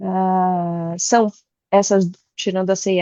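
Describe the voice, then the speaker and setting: A woman speaks in a Bahian accent at medium pitch. Her intonation stays fairly even. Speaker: tax executive and board member. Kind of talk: online presentation.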